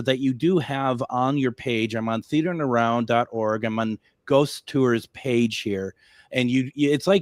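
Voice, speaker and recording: Recorded very cleanly against a silent background, a man with an unremarkable speaking voice talks at a fairly slow pace and medium pitch with ordinary pitch variation. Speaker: radio talk show host. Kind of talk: radio interview.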